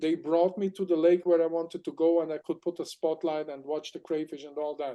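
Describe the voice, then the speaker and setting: A man with a German accent speaks at a high pitch with a dark, mellow tone. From Germany. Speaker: aquatic explorer and crustacean expert. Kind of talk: interview storytelling. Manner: animated.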